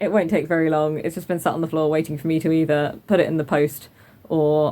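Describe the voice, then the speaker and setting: A woman speaks with a British accent. Her pitch is very deep and low, and her tone is dark and mellow. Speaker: craft podcaster. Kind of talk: casual vlog chat. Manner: fast.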